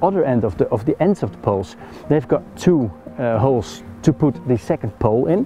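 Faint music plays behind a man who speaks at a moderate pace in a dry sound with no echo. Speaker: outdoor gear reviewer. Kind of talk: gear review tutorial. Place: forest.

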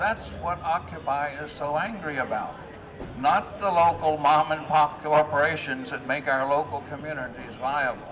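Over noticeable background noise, a man with a fairly high pitch speaks at a fairly slow pace. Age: 80s+. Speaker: activist. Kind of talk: public speech at a rally. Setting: outdoors. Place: street. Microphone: podium.

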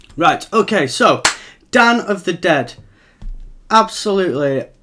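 With music in the background, a man talks at a moderate pace using lively intonation. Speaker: film creator. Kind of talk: live stream Q&A chat. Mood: slightly nervous, enthusiastic. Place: home room. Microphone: webcam.

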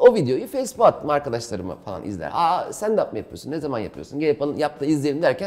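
Very fast delivery with hardly any pauses and big swings in loudness over a quiet background. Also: man. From Istanbul, Turkey; Turkey. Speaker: stand-up comedian; interview guest, comedian. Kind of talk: casual interview. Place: home room.

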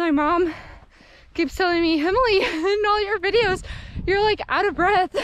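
This woman's pitch is extremely high, with ordinary pitch variation, a moderate pace, and a dry sound that has no echo. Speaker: hiking vlogger. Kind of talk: casual vlog chat. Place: open country. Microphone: camera far.

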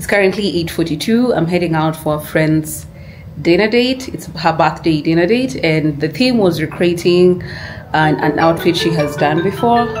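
Faint music plays in the background as a woman speaks with a fairly low pitch and ordinary pitch variation. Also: moderate pace. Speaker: vlogger. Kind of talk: casual vlog chat. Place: home room. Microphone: phone near.

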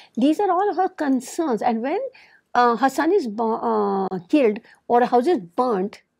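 Against a quiet background, a woman with a high pitch talks fairly slowly, her pitch swinging very widely. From India. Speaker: lawyer and activist; interviewee, women's rights lawyer. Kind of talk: oral history interview. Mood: earnest, explanatory. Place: studio. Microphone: lapel.

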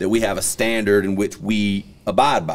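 A man with an ordinary speaking voice talks at a fairly quick pace and a fairly low pitch. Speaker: podcast host. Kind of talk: podcast discussion opinion. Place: studio. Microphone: studio mic.

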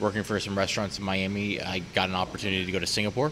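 Very fast and monotone, a man talks in a fairly low, flat voice. Noticeable background noise runs underneath. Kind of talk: interview answer. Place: cafe.

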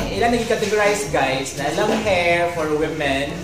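A man's speech with audible room echo and clear music in the background. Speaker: vlogger host. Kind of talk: casual vlog chat, promotional. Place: shop.

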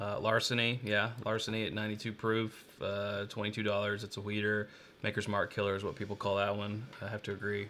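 With light background noise, a man with an American accent speaks at a moderate pace in a fairly low, bright, sharp voice and a monotone, flat intonation. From Kentucky. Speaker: bourbon channel co-host. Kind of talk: casual live-stream tasting chat. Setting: live stream. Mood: relaxed, conversational. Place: home room.

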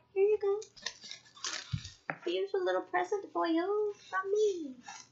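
In a put-on character voice, a woman speaks at a fairly slow pace with extremely high pitch over light background noise. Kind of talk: casual vlog chat. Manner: cute, sweet, gift-giving.

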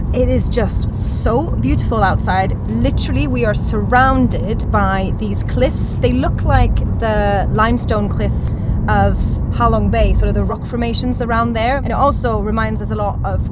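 A woman talks at a moderate pace. Her sound is dry with no echo, over loud background noise. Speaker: travel vlogger. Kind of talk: casual vlog chat. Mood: amazed, cheerful. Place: car. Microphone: phone near.

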